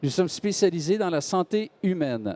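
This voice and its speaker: With a slight Quebec accent, a man speaks at a moderate pace with lively intonation and a dark, mellow tone, in a dry, close sound with no echo. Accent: Québécois French, slight. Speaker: medical device company executive. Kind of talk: panel discussion talk. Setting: stage with audience. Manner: halting.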